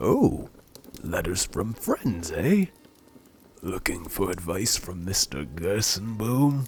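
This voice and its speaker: A man uses a put-on character voice at a fairly low pitch. He speaks at a fairly slow pace with lively intonation. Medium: solo performance. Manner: folksy, warm, chuckling.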